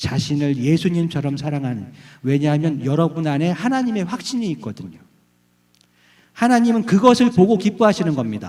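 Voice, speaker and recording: Fairly high male voice, its pitch swinging very widely. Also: moderate pace. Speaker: guest preacher. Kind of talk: sermon. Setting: church with congregation.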